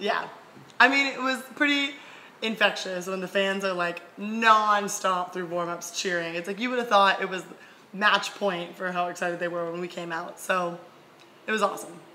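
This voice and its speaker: Medium pitch from a woman, with noticeable background noise and audible room echo. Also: ordinary pitch variation, moderate pace. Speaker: college volleyball player. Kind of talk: casual chat.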